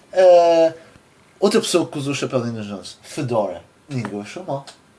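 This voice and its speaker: Over noticeable background noise, a man talks at a fairly quick pace, his fairly high pitch swinging very widely. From Portugal. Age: 20s. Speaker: podcast host. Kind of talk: casual chat.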